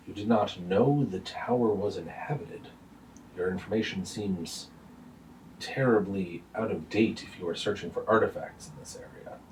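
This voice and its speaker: A man booms in a put-on character voice at a fairly low pitch, moving at a moderate pace with big swings in loudness. Clear background noise runs behind him. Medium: actual play. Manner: blunt, formal, hearty.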